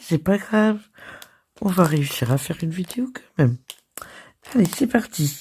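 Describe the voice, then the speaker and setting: A woman's hoarse, put-on character voice at medium pitch and a moderate pace, broken by long, frequent pauses. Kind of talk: casual, upbeat vlogger.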